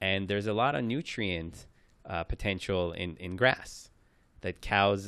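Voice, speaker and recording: A man with a Persian accent speaks fairly slowly in a fairly low pitch. The background is quiet. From Iran, raised in New York. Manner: talkative.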